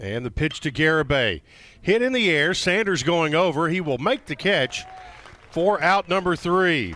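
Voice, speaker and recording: At a moderate pace, a man speaks in a high pitch with lively intonation over noticeable background noise. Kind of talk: live baseball color commentary mixed with play-by-play.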